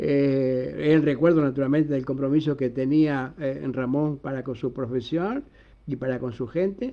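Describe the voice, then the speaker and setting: Here is a man with an unremarkable speaking voice. His pitch is fairly high and his intonation fairly even. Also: fairly slow pace. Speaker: radio journalist and host. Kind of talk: casual interview chat.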